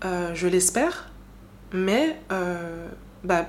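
A woman's voice with ordinary pitch variation. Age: 20s. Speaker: podcast host. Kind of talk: personal monologue. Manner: casual, hesitant with fillers.

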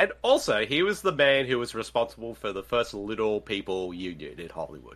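Speaking at a fairly quick pace, a man lets his loudness swing widely. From Australia. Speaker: podcast co-host. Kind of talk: casual chat.

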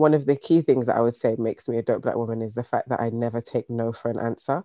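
Very fast and in a British accent, a man speaks at a medium pitch with a dark, mellow tone. The sound is dry and close, with no echo. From UK, Jamaican heritage. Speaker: business founder. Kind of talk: interview. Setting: video call.

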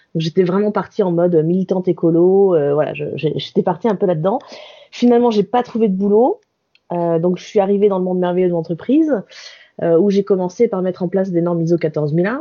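A woman with an unremarkable speaking voice talks fairly quickly, her pitch medium and her pitch variation ordinary. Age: 40s. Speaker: workplace wellbeing consultant. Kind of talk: interview.

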